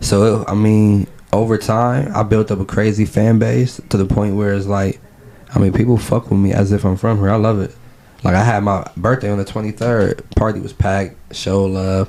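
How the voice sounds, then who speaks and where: A man with fairly low pitch talks at a moderate pace over noticeable background noise. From Ohio, Cleveland. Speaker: battle rapper and activist. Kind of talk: casual interview. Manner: animated.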